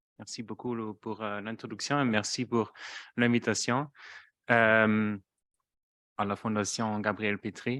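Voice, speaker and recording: A man with a German accent, a fairly low pitch, and a bright, sharp tone speaks at a very slow pace in monotone, flat intonation with long, frequent pauses, in a dry, close sound with no echo. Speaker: trade union policy officer. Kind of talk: conference talk. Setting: conference hall with interpretation headphones. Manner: hesitant, many filler sounds.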